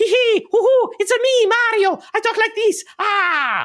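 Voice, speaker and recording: A put-on character voice at an extremely high pitch. The pace is moderate. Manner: playful, high-pitched.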